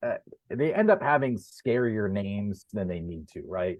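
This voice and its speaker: In an American accent, a man with an unremarkable speaking voice speaks at a moderate pace with lively intonation. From Pennsylvania. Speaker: sports editor. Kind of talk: interview.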